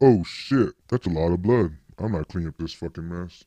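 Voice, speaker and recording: With a very deep, low pitch, a man rumbles at a moderate pace over a quiet background. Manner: exasperated, grumbling.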